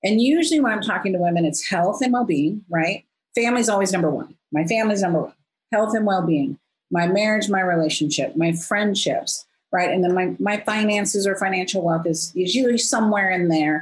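A woman speaks at a fairly quick pace and medium pitch, with lively intonation. Her voice is somewhat breathy, her loudness very even. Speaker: business coach. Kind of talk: interview conversation.

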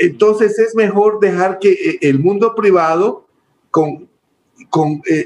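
A man is speaking. His pace is very slow. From Ecuador, Milagro and Guayaquil. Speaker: telecom company executive. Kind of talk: interview conversation.

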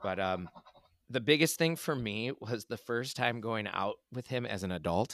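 With an ordinary speaking voice, a man keeps to a medium pitch, ordinary pitch variation and a moderate pace. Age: 40s. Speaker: middle school English teacher, podcast co-host. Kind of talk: casual chat.

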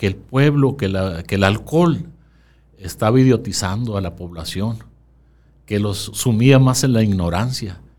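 In a normal speaking voice, a man talks at a medium pitch and a fairly slow pace with lively intonation. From Sonora, Mexico. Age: 60s. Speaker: town chronicler. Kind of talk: interview.

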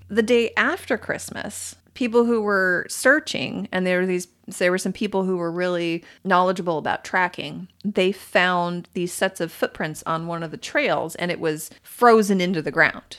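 An unremarkable speaking voice from a woman, medium in pitch with ordinary pitch variation, at a moderate pace with hardly any pauses, on a very clean recording with a silent background. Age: 40s. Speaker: podcast host, storyteller. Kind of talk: casual storytelling chat. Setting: home office.

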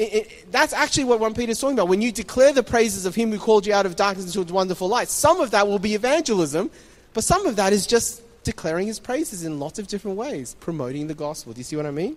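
High-pitched man with an Australian accent, very wide pitch swings and a very fast pace. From Taiwan, then Sydney from age nine. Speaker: pastor. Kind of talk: sermon. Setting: church stage with audience.

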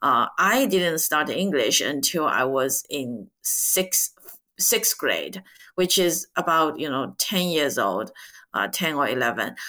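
A woman speaks very slowly with a very deep, low pitch, vocal fry and a bright, sharp tone, her pitch swinging very widely. The recording is very clean with a silent background. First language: Chinese. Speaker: podcast host and ETF director. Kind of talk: interview.

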